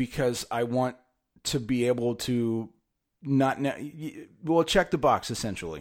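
In a very clean recording with a silent background, a man with an American accent speaks at a fairly slow pace in a medium pitch with ordinary pitch variation, a plain, everyday voice. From California. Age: 30s. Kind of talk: casual monologue. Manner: conversational with frequent fillers.

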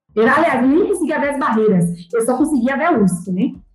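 Audible room echo follows a woman speaking at a high pitch. Her voice makes very wide pitch swings. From Brazil, Bahia (Salvador). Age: 30s. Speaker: doctoral student. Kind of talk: interview.

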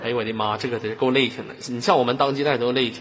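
A man talks at a very fast pace in an animated tone, his pitch sitting in the medium range. Noticeable background noise runs under his voice. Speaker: online voice chat room host. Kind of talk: casual live chat with callers. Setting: online voice chat room. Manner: animated, laughing often.

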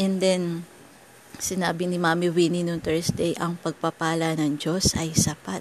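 A woman's fairly low voice at a fairly slow pace, with noticeable background noise. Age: 40s. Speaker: devotional teacher. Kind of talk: devotional talk.

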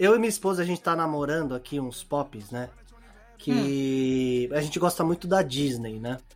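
With noticeable background noise around him, a man keeps a moderate pace and a lively intonation. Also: fairly high pitch for a man. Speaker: podcast co-host. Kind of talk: casual chat.

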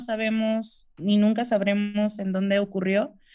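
Very slowly, a woman speaks over a quiet background. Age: 20s. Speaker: COVID survivor and amputee. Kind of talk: interview testimony. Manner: hesitant with many fillers.

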